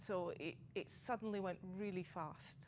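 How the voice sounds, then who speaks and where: A woman's medium-pitched voice in a Scottish accent, with ordinary pitch variation. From Scotland. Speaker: person with lived experience of suicidal crisis. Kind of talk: testimony.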